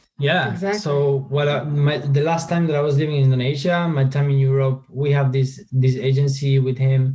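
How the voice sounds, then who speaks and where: A man with a Spanish accent speaks fairly quickly with hardly any pauses, at a fairly high pitch with fairly even intonation. His loudness stays very even over noticeable background noise. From Argentina, countryside. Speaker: marketing agency co-founder. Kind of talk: interview.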